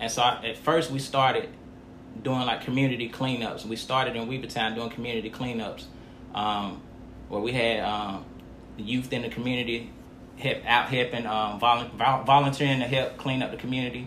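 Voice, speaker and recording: Monotone, flat speech in an American accent comes with audible room echo. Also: man, medium pitch for a man, moderate pace. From Montgomery County, North Carolina. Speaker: nonprofit founder, former inmate. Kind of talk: interview.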